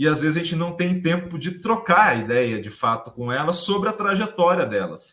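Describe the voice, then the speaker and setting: A man talks with very wide pitch swings. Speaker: podcast host. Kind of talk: casual chat. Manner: talkative.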